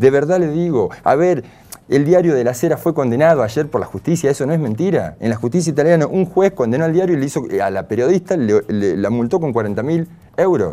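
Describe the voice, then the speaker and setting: A man's fairly high pitch, lively intonation and fairly quick pace. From Argentina, Córdoba province (near Río Cuarto); Córdoba, Argentina. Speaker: political activist; guest. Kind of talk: interview. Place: studio.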